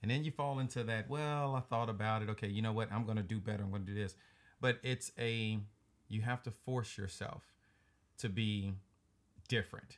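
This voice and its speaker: Speaking with a Southern US accent, a man leaves long, frequent pauses on a very clean recording with a silent background. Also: medium pitch for a man, ordinary pitch variation. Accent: Southern drawl. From US South. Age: 40s. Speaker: podcast host. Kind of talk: casual chat. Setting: home studio.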